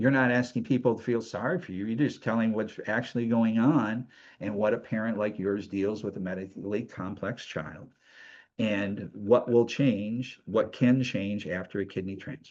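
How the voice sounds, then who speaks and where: A man talks at a moderate pace and medium pitch with ordinary pitch variation, in a plain, everyday voice. The background is quiet. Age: 60s. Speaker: show host and kidney donor. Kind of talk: interview.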